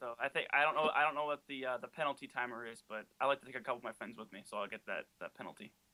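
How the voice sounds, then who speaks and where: At a very fast pace, a man talks in a bright, sharp tone at a medium pitch with ordinary pitch variation. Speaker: podcast cast member. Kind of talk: casual interview chat. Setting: Skype call. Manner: halting.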